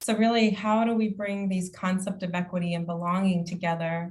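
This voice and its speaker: A woman speaks at a moderate pace and a medium pitch. Her voice is somewhat breathy, with fairly even intonation. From immigrant to the US, grew up partly in the US. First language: not English. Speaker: county equity officer. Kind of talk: conference presentation.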